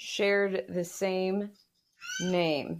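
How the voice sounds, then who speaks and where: A woman speaks at a very slow pace. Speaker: podcast co-host and historian. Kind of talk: casual chat.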